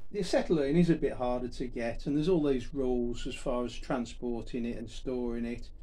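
Ordinary pitch variation and a moderate pace shape a man's speech. His tone is dark and mellow. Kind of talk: tutorial. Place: garage. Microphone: camera far.

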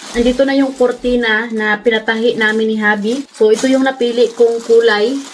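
Fairly quick, monotone speech with flat intonation over noticeable background noise. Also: woman, fairly high pitch for a woman. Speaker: family vlogger. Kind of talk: vlog narration.

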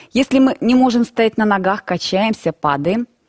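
There is a quiet background behind the woman. She speaks at a fairly slow pace. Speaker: yoga instructor. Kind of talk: calm instructional explanation. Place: studio. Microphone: headset.

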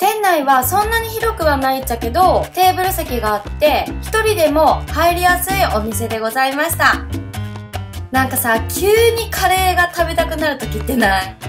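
Clear music sounds in the background. A woman talks over it at a moderate pace. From Hakata, Fukuoka. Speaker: food vlogger. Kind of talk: casual food review vlog. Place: cafe. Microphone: phone near.

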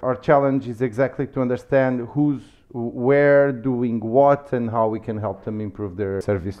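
A man with a Lisbon accent at a moderate pace, fairly even intonation, and a quiet background. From Lisbon, Portugal; Portugal. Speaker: startup community manager; podcast guest. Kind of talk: casual interview. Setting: office. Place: office. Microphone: headset.

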